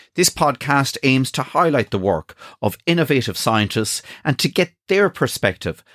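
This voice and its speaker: A man talks in an Irish accent at a moderate pace, with vocal fry and very wide pitch swings. The sound is dry and close with no echo, on a very clean recording with a silent background. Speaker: politician and podcast host. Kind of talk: scripted intro and interview.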